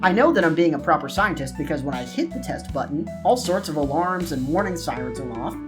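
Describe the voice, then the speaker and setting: Background music runs throughout the clip. The man's delivery moves at a fairly quick pace. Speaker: gaming YouTuber. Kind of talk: scripted comedic gameplay commentary voice-over. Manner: natural, more lively delivery.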